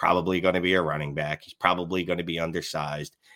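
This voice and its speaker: A very fast, monotone delivery in a strong Philadelphia accent, bright and sharp in tone, with a dry, close sound and no echo. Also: man. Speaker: fantasy football analyst and podcaster. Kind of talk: casual chat about fantasy football. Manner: filler words, um-heavy.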